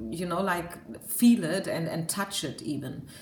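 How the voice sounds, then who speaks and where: A woman with a German accent and lively intonation, in audible room echo over noticeable background noise. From Germany. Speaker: tarot card reader. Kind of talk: tarot reading monologue. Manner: hesitant, many fillers.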